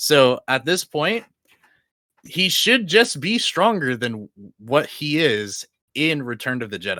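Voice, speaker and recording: Bright and sharp in tone, a man's fairly high voice moves at a fairly slow pace with very wide pitch swings. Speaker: online debater. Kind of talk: heated debate. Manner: halting, stuttering.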